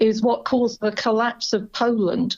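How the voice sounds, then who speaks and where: A woman with a British accent, fairly high in pitch, at a moderate pace. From Britain. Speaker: family history researcher. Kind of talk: interview.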